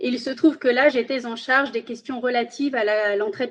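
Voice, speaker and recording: A woman with a Spanish accent talks at a fairly quick pace. Her pitch is high. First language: Spanish (speaking French). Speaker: magistrate. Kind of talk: interview.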